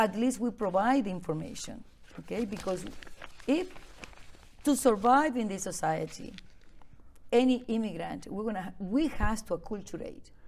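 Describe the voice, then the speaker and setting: A woman with a Venezuelan accent speaks at a moderate pace and fairly high pitch, with vocal fry, lively intonation and long, frequent pauses. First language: Spanish. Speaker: immigrant advocate. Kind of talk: interview.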